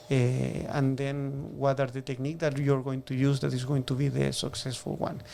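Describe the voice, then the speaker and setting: The voice has a strong Chilean accent, a dark, mellow tone, monotone, flat intonation and hardly any pauses. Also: man, medium pitch for a man, moderate pace. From southern Chile. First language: Spanish. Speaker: shellfish farmer. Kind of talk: interview. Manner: halting.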